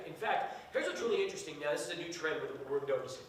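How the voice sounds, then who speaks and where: A man is heard over noticeable background noise, with audible echo from the room. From El Paso, Texas. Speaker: sports radio host. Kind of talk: classroom talk.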